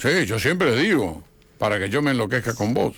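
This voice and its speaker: A man's lively intonation rides on a medium pitch as he talks at a moderate pace. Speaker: historian and author. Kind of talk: radio interview.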